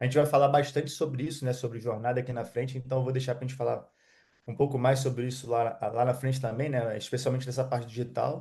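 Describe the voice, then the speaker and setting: A man of medium pitch talks very fast in a flat monotone. His tone is dark and mellow, and somewhat breathy. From Rio de Janeiro state, Brazil. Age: 30s. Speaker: digital affiliate marketer. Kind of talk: interview. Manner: halting.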